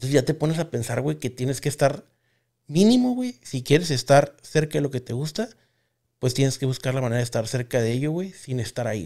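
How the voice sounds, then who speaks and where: A dark, mellow tone at a fairly quick pace, against a quiet background. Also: man, fairly high pitch for a man, ordinary pitch variation. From Mexico. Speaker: podcast host. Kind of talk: casual chat. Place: studio. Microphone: studio mic.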